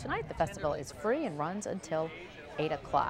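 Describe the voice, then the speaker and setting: A woman with an American accent talks at a fairly quick pace, her pitch swinging very widely. Music plays in the background. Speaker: television news anchor. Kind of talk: television news anchor read.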